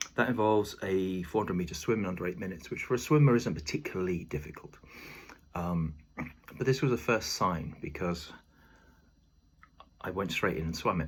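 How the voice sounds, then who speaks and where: Pausing long and often, a man with a British accent and a very deep, low pitch speaks at a fairly quick pace. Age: 50s. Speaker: video diarist, former lifeguard and athlete. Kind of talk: personal video diary. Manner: halting, many filler ums.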